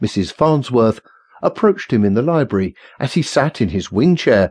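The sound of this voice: Lively intonation from an unforced reading voice.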